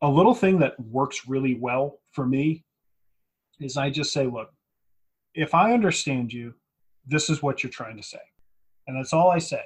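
Moderate pace and ordinary pitch variation from a somewhat breathy man. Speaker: podcast host. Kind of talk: casual podcast chat about tabletop wargaming strategy.

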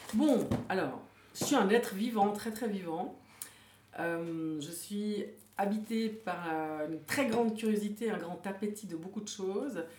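Over noticeable background noise and audible room echo, a woman speaks at a very slow pace with long, frequent pauses and ordinary pitch variation. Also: medium pitch for a woman. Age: 50s. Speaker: author. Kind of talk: interview.

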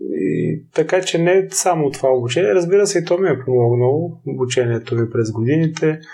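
A man with a fairly high, dark and mellow voice that is somewhat breathy speaks at a moderate pace with lively intonation. His loudness stays very even and he hardly pauses. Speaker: naval officer and ultramarathon runner. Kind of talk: interview.

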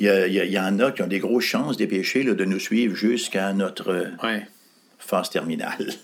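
A man's fairly low voice at a moderate pace, with very even loudness, ordinary pitch variation, and noticeable background noise. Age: 60s. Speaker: pastor. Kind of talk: interview.

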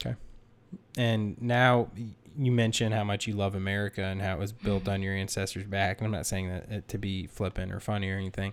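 An ordinary speaking voice from a man, fairly low in pitch with fairly even intonation. He moves at a fairly quick pace in a very clean recording with a silent background. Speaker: podcast host. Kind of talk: casual interview chat.

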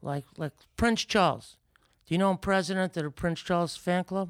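The sound is dry and close, with no echo. A man with an American accent talks at a moderate pace. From New York City, Brooklyn. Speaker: boxing promoter. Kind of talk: casual chat. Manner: rambling nonstop.

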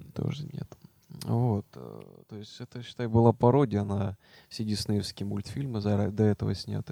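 Fairly low-pitched male voice with a dark, mellow tone, ordinary pitch variation, a fairly slow pace and big swings in loudness. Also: dry, close sound with no echo. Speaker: podcast co-host. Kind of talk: casual chat.

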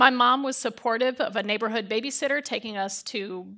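An ordinary speaking voice with an American accent and ordinary pitch variation. The recording is very clean, with a silent background. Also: woman. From Chicago, US. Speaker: church member giving testimony. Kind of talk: testimony. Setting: church with congregation.

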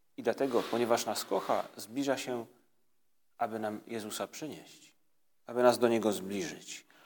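Medium in pitch, a man talks in a calm tone. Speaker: priest leading prayer. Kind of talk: guided prayer meditation. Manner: calm, slow.

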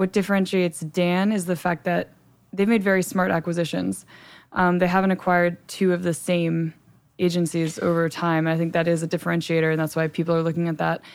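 Recorded very cleanly against a silent background, a woman with an American accent and a fairly low pitch talks at a fairly quick pace in a monotone, flat intonation, her loudness very even. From New Jersey, US. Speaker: trade magazine editor. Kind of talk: interview.

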